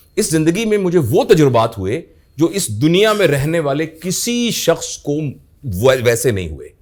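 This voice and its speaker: This man's fairly high voice moves in very wide pitch swings. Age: 60s. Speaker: professor. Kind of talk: interview.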